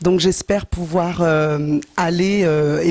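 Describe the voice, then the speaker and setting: A woman's fairly low-pitched voice against noticeable background noise. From France. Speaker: gospel singer. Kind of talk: interview.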